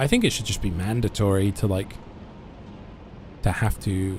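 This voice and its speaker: A man with an English accent speaks at a moderate pace in a very deep, low voice. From England. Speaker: video game streamer. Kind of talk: live gameplay stream chat. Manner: halting.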